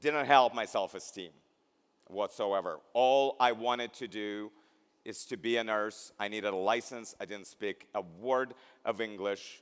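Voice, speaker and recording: A man with a Russian accent speaks at a fairly slow pace with fairly even intonation. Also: medium pitch for a man. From Belarus. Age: 50s. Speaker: keynote speaker, healthcare education executive. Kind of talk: keynote speech. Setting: graduation ceremony.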